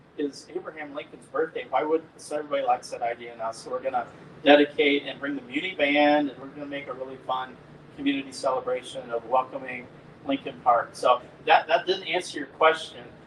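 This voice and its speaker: Over noticeable background noise, a man talks at a fairly quick pace in a fairly high voice, with ordinary pitch variation and big swings in loudness. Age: 60s. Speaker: city parks director. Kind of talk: panel Q&A conversation. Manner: animated.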